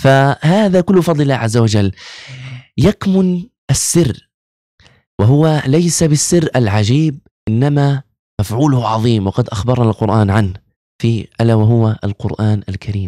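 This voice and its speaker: Over a quiet background, a man talks very slowly at a medium pitch, his dark, mellow tone and lively intonation captured in a dry sound with no echo. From Gaza, Palestine; Palestine. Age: 20s. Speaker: imam and Quran teacher, medical student; imam, Quran teacher. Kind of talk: religious talk interview. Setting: studio. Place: studio. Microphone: studio mic.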